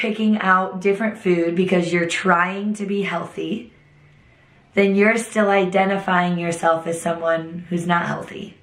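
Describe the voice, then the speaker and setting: The voice is a flat monotone, with audible room echo and noticeable background noise. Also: woman. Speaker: fitness instructor. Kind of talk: motivational talk to camera. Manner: casual, conversational.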